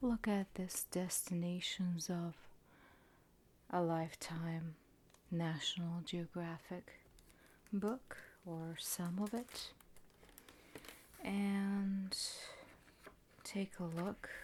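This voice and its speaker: Soft-spoken and gentle in tone, the speaker goes at a very slow pace with long, frequent pauses. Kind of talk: ASMR book flip, relaxation narration. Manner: soft-spoken, gentle.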